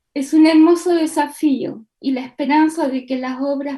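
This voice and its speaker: A woman speaks at a moderate pace in a dark, mellow tone, her intonation fairly even. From Chile. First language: Spanish. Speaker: artist. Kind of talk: prepared statement.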